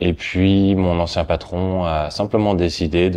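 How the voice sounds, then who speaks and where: A man with a very deep, low pitch. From France. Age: 30s. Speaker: hotel and office park manager. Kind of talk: interview testimony. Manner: halting, many hesitations.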